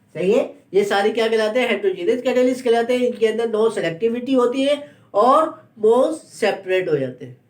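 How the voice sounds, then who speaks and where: This man's voice sits at an extremely high pitch. His pitch variation is ordinary. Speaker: chemistry teacher. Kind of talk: lecture. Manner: slow; repetitive question-and-answer teaching style.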